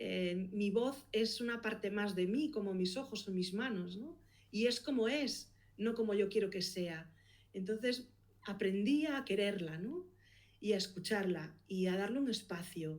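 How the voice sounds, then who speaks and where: Speaking with a Galician accent, a woman uses a medium pitch with ordinary pitch variation. Her pace is fairly slow. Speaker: podcast producer and consultant. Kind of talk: interview.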